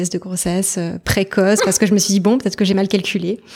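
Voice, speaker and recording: With an unremarkable speaking voice, a woman talks at a fairly quick pace and medium pitch with fairly even intonation, in a very clean recording with a silent background. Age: 30s. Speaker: mother sharing her story. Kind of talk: personal testimony interview.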